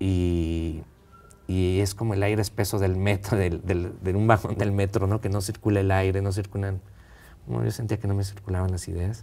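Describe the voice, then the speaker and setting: At a moderate pace, the voice has a dark, mellow tone and fairly even intonation. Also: man, fairly low pitch for a man. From central Mexico (Texcoco, State of Mexico); State of Mexico, Mexico. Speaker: film director; guest. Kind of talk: interview. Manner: halting, many repetitions. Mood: relaxed, reflective. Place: studio. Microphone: lapel.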